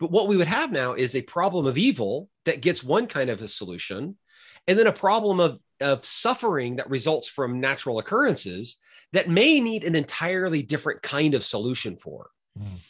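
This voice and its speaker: Fairly quick and fairly high-pitched, a man speaks in an American accent with very wide pitch swings. Vocal fry runs through his voice. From US, Oklahoma. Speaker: philosophy professor. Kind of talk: casual interview conversation.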